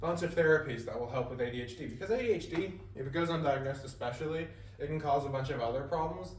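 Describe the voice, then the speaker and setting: A man speaks at a very fast pace with a fairly high pitch and ordinary pitch variation. The room echo is audible, and background noise is noticeable. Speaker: student presenter. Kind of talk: class presentation. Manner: casual, self-deprecating asides.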